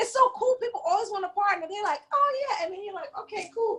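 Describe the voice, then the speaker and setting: In a New York accent, the speaker talks at a very fast pace with a bright, sharp tone and very wide pitch swings. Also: woman. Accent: New York City. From Brooklyn, New York (East New York). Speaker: comedian and podcaster. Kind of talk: casual interview chat.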